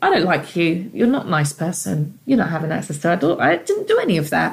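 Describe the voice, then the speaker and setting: A somewhat breathy woman's voice with a London accent. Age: 30s. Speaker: single mother. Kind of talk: interview.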